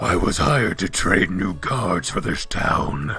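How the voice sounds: A man does a put-on character voice, gruff and raspy, at a very deep, low pitch. He speaks at a fairly slow pace with clear music in the background.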